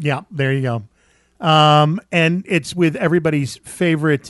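A plain, everyday voice at a fairly slow pace, with ordinary pitch variation and a dry, close sound with no echo. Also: man. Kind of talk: podcast host doing a catchphrase intro. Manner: playful, teasing, announcer-like.

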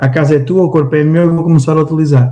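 A man speaks in a dark, mellow tone that is somewhat breathy. His intonation stays fairly even. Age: 40s. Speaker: entrepreneur. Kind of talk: interview. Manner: halting.

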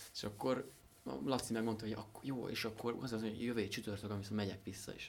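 Very fast talking from a man, ordinary in pitch variation. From Hungary, Szentendre area. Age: young. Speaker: instrument maker. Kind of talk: interview. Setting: workshop. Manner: halting, many fillers and repetitions.

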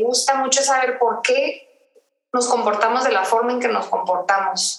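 At a moderate pace, the intonation stays fairly even. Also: woman. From Mexico, Tijuana. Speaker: podcast co-host. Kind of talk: casual chat. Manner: halting, repeats words.

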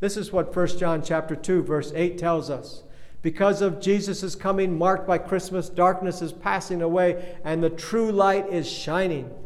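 Over noticeable background noise and audible room echo, a man with a high pitch speaks at a moderate pace in a monotone, flat intonation. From Kenya. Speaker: pastor. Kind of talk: sermon. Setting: recorded remotely for online congregation.

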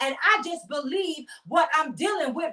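The voice is raised and projected, bright and sharp in tone, passionate, with lively intonation. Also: woman. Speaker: prophetess and inspirational show host. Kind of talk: devotional teaching and fervent prayer; fervent prayer of thanksgiving. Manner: fervent, repetitive praise with rising intensity; emphatic, passionate, declaring.

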